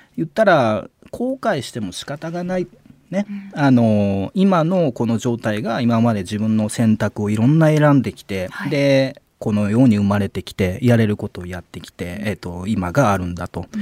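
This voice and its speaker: A man at a medium pitch speaks at a moderate pace, his loudness swinging widely. The sound is dry and close, without echo. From Mie Prefecture, Japan. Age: 30s. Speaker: contemporary artist. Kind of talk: casual radio interview. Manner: hesitant, many fillers.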